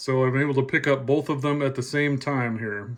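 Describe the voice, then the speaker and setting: A man with a fairly high pitch speaks at a moderate pace in a normal speaking voice, his intonation fairly even. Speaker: shortwave radio hobbyist. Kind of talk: casual talk to camera.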